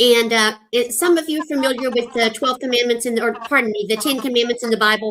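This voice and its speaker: A high-pitched woman at a very fast pace, with hardly any pauses. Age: 60s. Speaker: retired school counselor and YouTuber. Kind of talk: casual chat.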